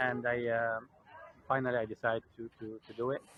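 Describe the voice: The sound of a man's medium-pitched voice is dry and close, with no echo.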